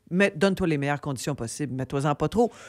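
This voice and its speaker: Very wide pitch swings in a Quebec accent on a very clean recording with a silent background. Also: woman. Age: 60s. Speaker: comedian and TV host. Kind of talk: radio interview. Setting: radio studio.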